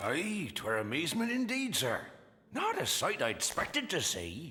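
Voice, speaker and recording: This man uses a cartoonish character voice pitched high. He speaks at a moderate pace. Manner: folksy, unhurried.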